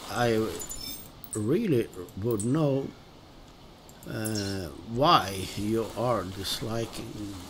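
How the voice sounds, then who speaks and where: With a Swedish accent, a man speaks at a very slow pace amid audible room echo. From Sweden. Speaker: gaming streamer. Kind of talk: casual gameplay commentary. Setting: live stream. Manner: halting, many fillers.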